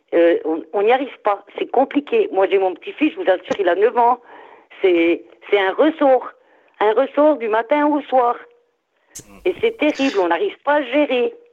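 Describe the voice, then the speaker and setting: Speaking at a fairly slow pace with long, frequent pauses, a woman uses a high pitch and very wide pitch swings. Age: 60s. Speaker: caller, grandmother. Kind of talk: casual chat. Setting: phone call.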